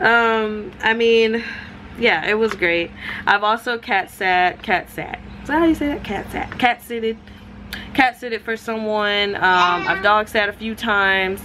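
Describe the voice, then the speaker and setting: Against noticeable background noise, the speech comes at a fairly slow pace with ordinary pitch variation. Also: woman, fairly high pitch for a woman. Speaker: vlogger, gig worker. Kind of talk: casual vlog talk to camera. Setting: at home on couch. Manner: hesitant with many ums.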